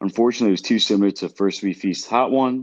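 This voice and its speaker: A man talks very fast with ordinary pitch variation. The sound is dry and close with no echo over a quiet background. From Brooklyn, New York. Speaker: podcast co-host. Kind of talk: casual chat.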